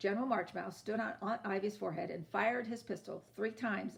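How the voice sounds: The delivery is a natural reading voice with fairly even intonation.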